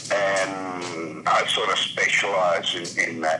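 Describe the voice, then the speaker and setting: Over noticeable background noise and audible room echo, a man speaks with an Australian accent. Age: 60s. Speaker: caller. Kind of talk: phone call-in chat.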